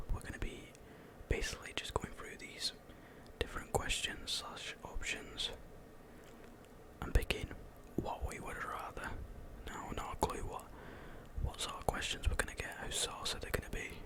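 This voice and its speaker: Over noticeable background noise, a man whispers at a moderate pace, pausing long and often, his loudness swinging widely. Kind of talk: casual talk to camera. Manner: relaxed, conversational.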